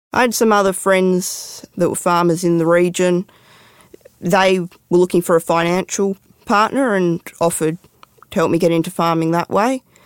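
A woman with an Australian accent, fairly low in pitch, at a moderate pace with fairly even intonation. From Western Australia, Perth. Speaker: farmer and mine worker. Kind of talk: interview storytelling.

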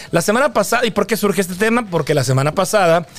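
A man speaks fairly quickly, with noticeable background noise in the recording. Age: 40s. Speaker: podcast host. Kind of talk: reading aloud news; casual chat. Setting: studio.

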